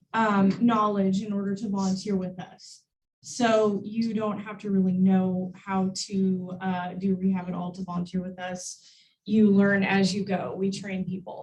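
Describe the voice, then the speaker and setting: A woman with a medium-pitched voice speaks at a fairly slow pace. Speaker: wildlife education director. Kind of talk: public talk. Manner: loud; chatty, with many fillers.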